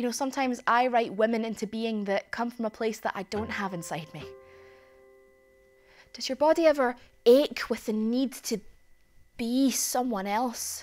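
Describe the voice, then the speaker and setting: A woman at a moderate pace with ordinary pitch variation and long, frequent pauses, over faint music in the background. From Glasgow, Scotland. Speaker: spoken word performer. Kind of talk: spoken word theatre performance. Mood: intimate, reflective. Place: stage.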